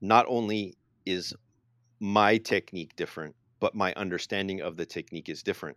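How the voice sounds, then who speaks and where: A man with an unremarkable speaking voice and fairly low pitch talks at a fairly quick pace with fairly even intonation. The sound is dry and close, with no echo. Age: 40s. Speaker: karate podcast co-host. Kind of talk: casual chat.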